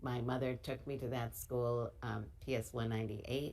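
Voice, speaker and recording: In a New York accent, a woman with a very deep, low pitch and vocal fry speaks with ordinary pitch variation. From US Northeast, Brooklyn, New York. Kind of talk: interview.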